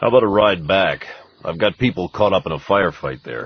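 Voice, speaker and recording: A raspy, put-on character voice rattles along at a fairly quick pace with lively intonation. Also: man, fairly low pitch for a man. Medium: read story. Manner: laconic, dry.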